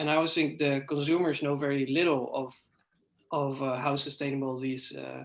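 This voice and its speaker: A man with a Dutch accent speaks at a fairly quick pace. His pitch is fairly high and his intonation is monotone and flat. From Netherlands. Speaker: PhD student. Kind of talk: audience question. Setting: video call.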